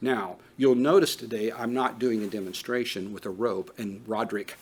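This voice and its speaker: A man speaks at a medium pitch and a moderate pace, with ordinary pitch variation. Noticeable background noise is present. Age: 50s. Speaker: trauma training instructor. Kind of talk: lecture. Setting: training room with live audience.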